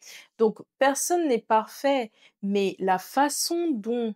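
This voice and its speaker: With lively intonation and a fairly high pitch, a woman is heard in a dry, close sound with no echo on a very clean recording with a silent background. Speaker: content creator and podcast host. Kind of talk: casual chat. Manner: soft-spoken.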